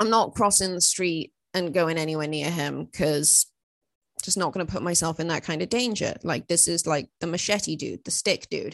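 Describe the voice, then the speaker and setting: Over a quiet background, a woman with a Welsh accent speaks at a moderate pace in a fairly low voice with ordinary pitch variation. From Wales. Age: 20s. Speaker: political commentator and podcast host. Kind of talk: solo podcast monologue. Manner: casual, filler-heavy.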